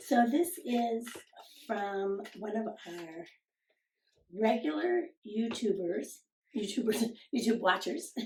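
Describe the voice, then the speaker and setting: Very slowly and with long, frequent pauses, a woman with a fairly high, somewhat breathy voice lets her pitch swing very widely. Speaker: sewing channel co-host. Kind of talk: casual chat.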